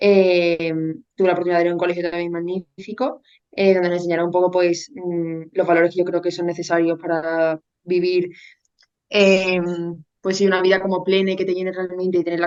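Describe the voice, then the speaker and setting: Speaking at a fairly quick pace, a woman uses a fairly low pitch and monotone, flat intonation. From Spain, Seville. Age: 20s. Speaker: university student. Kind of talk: personal testimony in interview. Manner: hesitant, many fillers.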